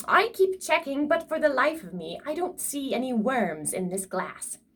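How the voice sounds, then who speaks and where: A woman puts on a gruff character voice at a high pitch. She moves at a moderate pace with very wide pitch swings. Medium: read story. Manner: grouchy, gruff.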